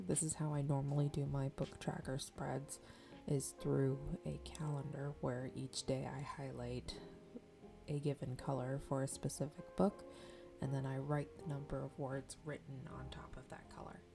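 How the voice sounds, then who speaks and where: Soft-spoken, a woman talks at a moderate pace with music in the background. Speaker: novelist. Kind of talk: ASMR journaling tutorial.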